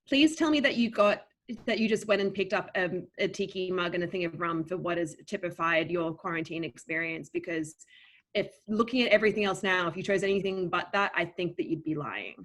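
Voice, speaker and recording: A woman at medium pitch and a fairly quick pace, in a very clean recording with a silent background. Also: ordinary pitch variation. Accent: Australian. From Australia, Melbourne. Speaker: game show moderator, book editor. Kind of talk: virtual panel game show.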